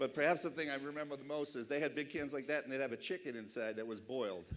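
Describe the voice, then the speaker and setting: In a Boston accent, a man talks at a very fast pace. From Boston, Massachusetts. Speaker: keynote speaker. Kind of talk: keynote speech. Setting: awards dinner stage with audience.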